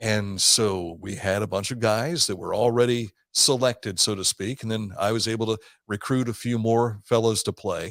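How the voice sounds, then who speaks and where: A man with an Ohio accent speaks at a moderate pace and with fairly even intonation, in a very clean recording with a silent background. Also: medium pitch for a man. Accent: Midwestern American (Ohio). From southern Ohio. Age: 60s. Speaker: radio host. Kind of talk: casual interview chat.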